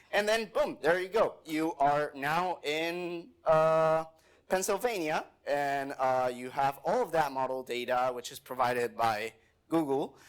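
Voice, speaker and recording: Lively intonation in a Spanish accent, on a very clean recording with a silent background. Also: man, fairly high pitch for a man, fairly slow pace. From Mexico. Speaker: software developer, conference speaker. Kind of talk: conference talk with live demo. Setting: stage with audience. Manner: casual, with many fillers.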